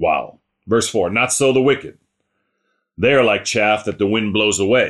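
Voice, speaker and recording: A man's fairly slow speech sits against a quiet background. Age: 50s. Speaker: Bible teacher. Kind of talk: Bible teaching. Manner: casual, folksy.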